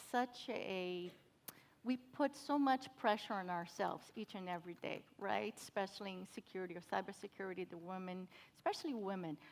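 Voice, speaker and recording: A woman with a Brazilian Portuguese accent and medium pitch speaks at a moderate pace with lively intonation. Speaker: cybersecurity professional. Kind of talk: panel discussion.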